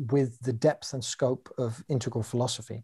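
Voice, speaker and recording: A man with a southern English accent speaks in a somewhat breathy, dark and mellow voice, with fairly even intonation, on a very clean recording with a silent background. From London, England. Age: 40s. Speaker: coach and teacher. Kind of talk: interview explanation.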